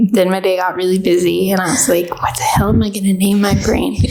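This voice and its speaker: Noticeable background noise fills the clip, along with audible room echo. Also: woman. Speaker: podcast co-host. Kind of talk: casual chat. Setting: small room with neighbors next door. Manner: loud.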